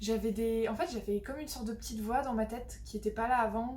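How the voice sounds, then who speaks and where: Audible room echo and noticeable background noise around a female speaker. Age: 20s. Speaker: hypnotherapy client, student. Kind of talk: testimony. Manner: halting, many hesitations.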